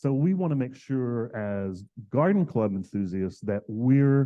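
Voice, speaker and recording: A man speaks with an American accent. His voice sits at a medium pitch. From US South. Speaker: floral designer and educator. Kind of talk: presentation and demonstration. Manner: loud.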